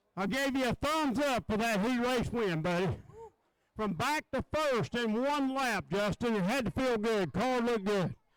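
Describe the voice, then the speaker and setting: A man's voice at an extremely high pitch, with ordinary pitch variation, a moderate pace and very even loudness. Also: dry, close sound with no echo. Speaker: race track announcer. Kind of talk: live commentary.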